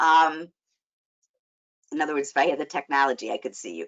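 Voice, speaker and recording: Talking at a fairly quick pace, a woman speaks with a Chicago accent. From US Midwest, Chicago. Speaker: life coach and social worker. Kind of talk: webinar presentation. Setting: online webinar.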